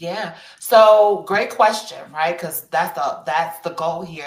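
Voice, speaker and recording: There is audible room echo as a woman talks at a moderate pace. Her pitch variation is ordinary. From Chicago. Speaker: HR practitioner and career expert. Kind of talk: panel discussion in a virtual event. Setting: virtual event. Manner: conversational with many fillers.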